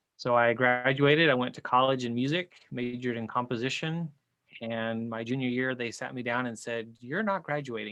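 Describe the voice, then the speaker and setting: A man speaks at a moderate pace with a Spanish accent. His pitch is medium and his intonation fairly even. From Chile. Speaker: licensed counselor and professor. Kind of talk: podcast interview.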